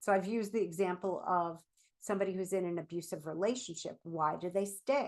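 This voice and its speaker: A woman talks at a fairly quick pace in a medium pitch. Her pitch varies in an ordinary way against a quiet background. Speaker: therapist and show host. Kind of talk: solo talk show monologue. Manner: animated.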